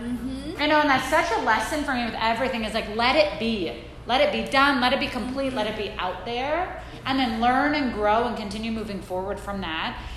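Fairly quick, high-pitched female speech with an American accent, audible room echo and noticeable background noise. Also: ordinary pitch variation. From Saudi Arabia (American expat upbringing). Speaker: women's wellness coach. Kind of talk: talk to a live audience.

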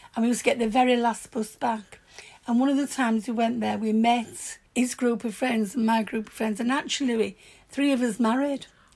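The speaker has a strong Yorkshire accent and a fairly quick pace. The tone is animated and excited. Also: woman, fairly high pitch for a woman. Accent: broad Yorkshire. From Yorkshire, northern England. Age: 70s. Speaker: grandmother recalling her youth. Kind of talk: warm, nostalgic life-story reminiscing to her granddaughter. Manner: chatty and animated, spilling into excited asides; plainspoken and forthright, with earthy swearing.

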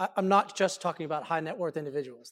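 On a very clean recording with a silent background, a man with a Texan accent talks at a fairly quick pace and high pitch, with ordinary pitch variation. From Dallas, Texas. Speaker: economic development executive. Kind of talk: panel discussion. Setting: stage with audience.

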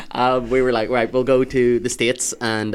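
In a very clean recording with a silent background, a man speaks with a Northern Irish accent. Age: 20s. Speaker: stand-up comedian. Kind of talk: casual chat.

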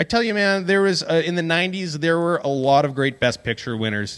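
Here is an unremarkable speaking voice from a man with lively intonation. He goes at a fairly quick pace. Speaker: podcast host and magician. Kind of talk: casual chat.

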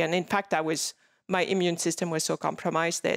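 The speaker has a French accent, captured with a dry, close sound and no echo. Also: woman. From France, Paris. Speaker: skincare entrepreneur and cancer survivor. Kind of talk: interview. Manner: laughs often.

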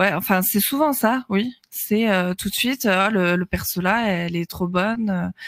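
At a fairly slow pace with hardly any pauses, a woman with a normal speaking voice talks at medium pitch with ordinary variation, the sound dry and close with no echo. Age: 20s. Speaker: streamer. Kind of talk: casual chat.

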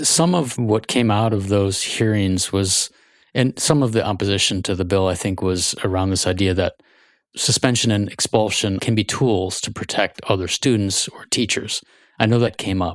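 A man with an unremarkable speaking voice talks at a moderate pace in a fairly low pitch with ordinary pitch variation, the very clean recording dry and close with no echo and a silent background. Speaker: podcast host. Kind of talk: interview. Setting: studio.

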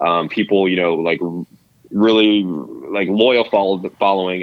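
This man speaks with an American accent at a fairly low pitch, his intonation fairly even. He has a plain, everyday voice. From Albuquerque, New Mexico, US. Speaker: veteran and beard-care company founder. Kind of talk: interview.

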